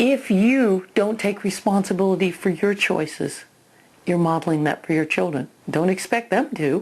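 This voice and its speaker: A woman speaks at a fairly slow pace in an unremarkable speaking voice, medium in pitch with ordinary pitch variation. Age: 60s. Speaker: parenting educator. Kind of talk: video lesson. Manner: conversational.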